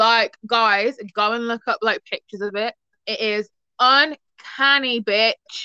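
A woman's fairly high-pitched, normal speaking voice at a fairly slow pace, with fairly even intonation and a dry, close sound with no echo. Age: young. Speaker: podcast host. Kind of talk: casual chat.

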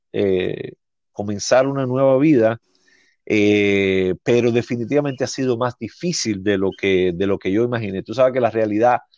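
Recorded dry and close with no echo against a quiet background, a man speaks at a fairly slow pace with ordinary pitch variation. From Cuba, Havana (Centro Habana). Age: 40s. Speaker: teacher, Cuban immigrant. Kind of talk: interview, life story. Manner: halting, many restarts and fillers.

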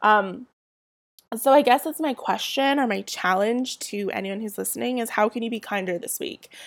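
A woman with a Southern California accent at a moderate pace, lively in intonation and with big swings in loudness, on a very clean recording with a silent background. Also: fairly high pitch for a woman. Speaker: podcast host and blogger. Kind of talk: casual solo chat. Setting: home recording with a poor mic. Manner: chatty, with fillers and laughs.

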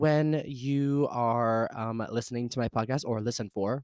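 In a very clean, silent recording with a dry, close sound and no echo, a man with an American accent speaks in an animated tone at a medium pitch. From US South (Louisiana). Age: 20s. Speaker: podcast host. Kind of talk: casual solo podcast monologue. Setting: home recording at computer with mic. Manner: animated, excitable; talkative.

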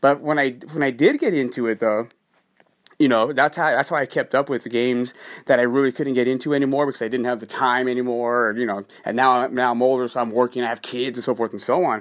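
A man at a medium pitch, very fast pace and fairly even intonation. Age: 40s. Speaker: podcast host. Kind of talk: solo podcast monologue. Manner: casual, repetitive with false starts.

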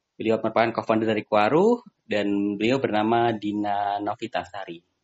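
A man speaks at a fairly quick pace in a medium pitch. It is an ordinary speaking voice. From Magetan, East Java, Indonesia. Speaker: podcast host. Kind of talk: casual interview.

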